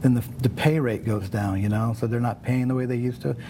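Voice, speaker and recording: Speaking at a very fast pace with an American accent, a man keeps a medium pitch and fairly even intonation while noticeable background noise sits behind him. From South Central Los Angeles, Nicaraguan family. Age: 60s. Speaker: makeup artist. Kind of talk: interview. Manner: casual, many fillers and repetitions.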